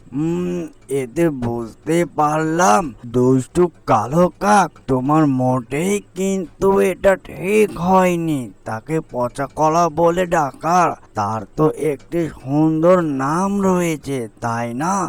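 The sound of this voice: A man performs a cartoonish character voice at a fairly high pitch, with vocal fry. He goes at a slow pace with few pauses and lively intonation.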